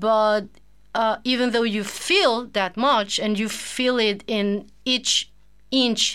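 Speaking very slowly, a woman has a Spanish accent and a fairly high pitch. Her pitch varies in an ordinary way. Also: very clean recording, silent background. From Venezuela, Caracas. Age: 40s. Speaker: teacher and translator, single mother. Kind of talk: casual interview.

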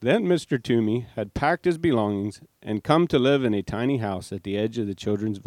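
Lively intonation marks this passage, read aloud in a natural voice.

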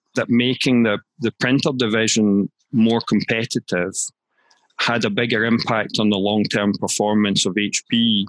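Speaking at a fairly slow pace and medium pitch, a man with a plain, everyday voice keeps his loudness very even and his pitch variation ordinary, in a dry, close sound with no echo. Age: 50s. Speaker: management consultant and author. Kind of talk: interview.

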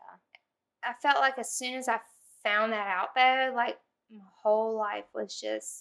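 In a Louisiana accent, a woman with a fairly high pitch speaks at a fairly slow pace, with ordinary pitch variation and big swings in loudness. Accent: Southern US, Louisiana. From US South, Louisiana (Zachary). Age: 30s. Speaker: podcast guest. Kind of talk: casual chat.

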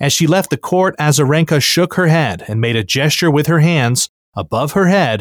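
In a very clean recording with a silent background and a dry, close sound with no echo, a man with an American accent speaks at a moderate pace in a normal speaking voice, his fairly high pitch carried by lively intonation. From United States. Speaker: news podcast host. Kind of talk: news reading.

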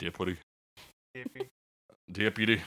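A man puts on a character voice. His pitch sits fairly low.

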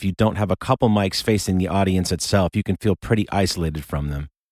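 Recorded very cleanly against a silent background in a dry, close sound with no echo, a man with an American accent talks at a fairly quick pace in an unremarkable speaking voice, fairly low in pitch, with ordinary pitch variation. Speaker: musician and podcast narrator. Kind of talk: scripted narration.

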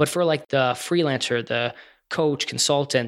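The speaker has a normal speaking voice. The pace is moderate. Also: man. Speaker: podcast host. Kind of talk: casual interview.

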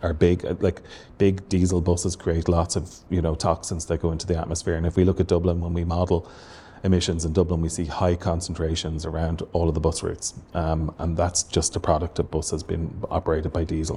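A man's very deep, low, somewhat breathy voice with a dark, mellow tone and monotone, flat intonation, at a fairly quick pace, in a Waterford Irish accent. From Ireland, Waterford. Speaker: transport professor. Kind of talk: interview. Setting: university building.

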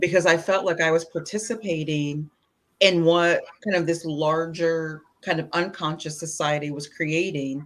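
In an American accent, a woman with a normal speaking voice talks at a moderate pace, fairly low in pitch and with fairly even intonation, on a very clean recording with a silent background. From US Midwest (Indiana). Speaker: parent guest. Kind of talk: casual chat.

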